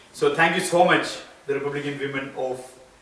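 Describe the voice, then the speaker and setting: A man with an Indian accent, noticeable background noise and audible room echo. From India (Kerala). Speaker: school board candidate. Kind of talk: campaign speech. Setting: gathering in a private home.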